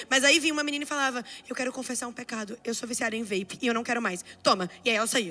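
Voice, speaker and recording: A woman speaks at a very fast pace in a raised, projected voice with an animated tone. Her intonation is lively, and background noise is noticeable. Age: 20s. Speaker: preacher. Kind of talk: sermon.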